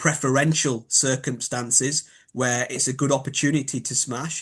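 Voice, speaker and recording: A man's medium-pitched, flat monotone voice in a Yorkshire accent, at a moderate pace over a quiet background. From Yorkshire, northern England. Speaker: biomechanics expert. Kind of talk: interview. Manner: hesitant, filler-heavy.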